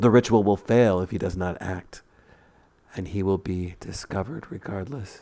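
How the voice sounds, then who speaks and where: A man with a very deep, low voice and a dark, mellow tone speaks at a moderate pace in a dramatic tone, his loudness swinging widely. The intonation stays fairly even, and the recording is very clean over a silent background. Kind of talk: scripted narration of flash fiction. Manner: dramatic, storyteller delivery with tense pacing.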